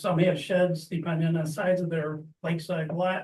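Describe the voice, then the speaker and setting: A man talks at a moderate pace in a high pitch. His intonation is monotone and flat. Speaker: resident speaking at public comment. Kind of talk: public comment at council meeting.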